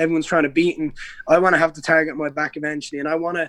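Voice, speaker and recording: With a Dublin accent, a man speaks at a high pitch. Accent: Irish (Dublin). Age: 20s. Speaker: MMA fighter. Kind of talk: casual chat.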